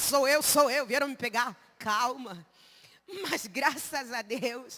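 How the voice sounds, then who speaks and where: The voice is raised and projected, with ordinary pitch variation. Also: woman. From Angola. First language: Umbundu (speaking Portuguese). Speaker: missionary preacher. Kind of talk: sermon. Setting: church service.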